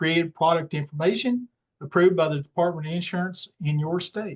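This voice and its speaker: A man's high-pitched, fairly quick speech with fairly even intonation, in a dry, close sound with no echo. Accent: slight Southern US. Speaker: independent Medicare insurance agent. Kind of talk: webinar presentation. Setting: online webinar with screen share. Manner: casual, with many fillers.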